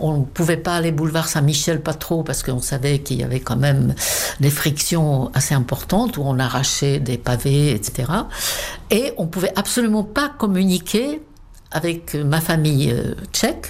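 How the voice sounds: A woman speaks at a low pitch with a slightly mellow tone. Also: ordinary pitch variation, moderate pace.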